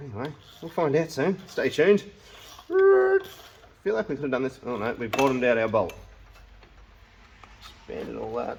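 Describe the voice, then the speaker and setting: Against noticeable background noise, a man speaks quietly at a moderate pace. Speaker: DIY mechanic vlogger. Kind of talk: workshop tutorial vlog. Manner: quiet, talking while concentrating.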